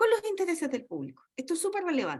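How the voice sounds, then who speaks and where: Very wide pitch swings from a woman at a fairly quick pace. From Chile. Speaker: university lecturer. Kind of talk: lecture. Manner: fast.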